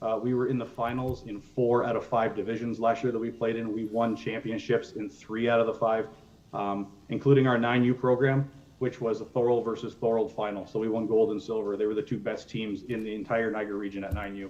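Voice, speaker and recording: A man speaks in a monotone, flat way. His pace is fairly quick. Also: medium pitch for a man. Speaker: youth baseball coach and organization representative. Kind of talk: presentation to council. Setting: council meeting. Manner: fast.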